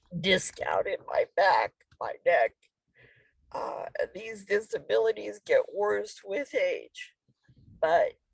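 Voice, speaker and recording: A woman at a very slow pace. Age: 60s. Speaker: former student speaker. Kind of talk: testimony.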